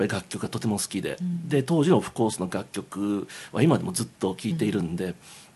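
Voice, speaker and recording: A man talks at a very fast pace in a fairly low pitch, his tone dark and mellow, his pitch swinging very widely. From Tokyo, Japan. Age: 50s. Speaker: game music composer. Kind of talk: casual chat. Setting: Japanese restaurant.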